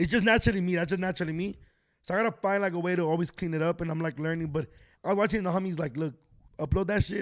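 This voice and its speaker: Loud and at a very fast pace, a man with an American accent talks in a high pitch on a very clean recording with a silent background. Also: ordinary pitch variation. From Los Angeles, Echo Park. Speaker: comedian and podcaster. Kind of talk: casual chat. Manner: fast, stuttering.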